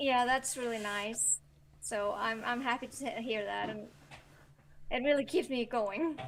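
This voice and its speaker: With an Icelandic accent, a woman speaks at a fairly slow pace, showing ordinary pitch variation and big swings in loudness. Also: fairly high pitch for a woman. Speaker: novelist. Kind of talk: interview. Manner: hesitant, many fillers.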